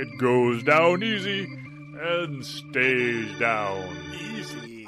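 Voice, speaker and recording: With clear music in the background, a man does a put-on character voice at a medium pitch and a very slow pace. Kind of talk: cheesy horror host. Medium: comedy sketch. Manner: gloomy, absent-minded.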